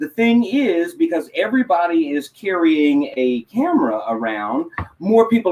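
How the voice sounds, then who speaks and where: A man with a high pitch and a slight Texas accent. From Texas, Houston area. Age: 50s. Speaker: motivational speaker and educator. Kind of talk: interview. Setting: live online talk show.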